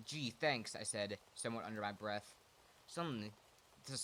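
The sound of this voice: The reading voice here sounds unforced.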